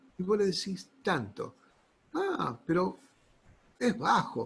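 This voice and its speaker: A man in a Rioplatense accent talks at a high pitch with very wide pitch swings. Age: 60s. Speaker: pastor. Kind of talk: sermon. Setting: online church service. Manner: halting.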